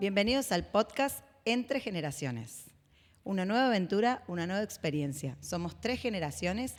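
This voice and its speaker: The recording is very clean, and the background is silent. In it, a woman talks at a moderate pace, her pitch swinging very widely. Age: 30s. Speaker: podcast host and leadership consultant. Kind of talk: casual chat.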